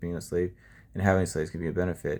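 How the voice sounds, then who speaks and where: Over a silent background in a very clean recording, a man with a very deep, low pitch talks at a very fast pace with fairly even intonation. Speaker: bible study presenter. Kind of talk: bible reading and commentary. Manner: casual, halting with fillers.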